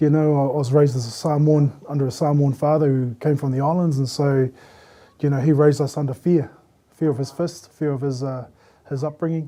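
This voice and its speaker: The man's voice is dark and mellow, fairly high in pitch. His pace is fairly quick and his intonation is monotone and flat. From New Zealand, Christchurch. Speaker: panel guest. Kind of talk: casual group discussion. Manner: stutters when nervous.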